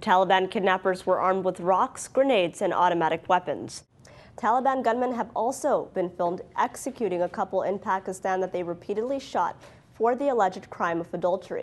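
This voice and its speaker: In a normal speaking voice with an American accent, a woman talks at a fairly quick pace and medium pitch, with ordinary pitch variation. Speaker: journalist. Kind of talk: TV news anchor read.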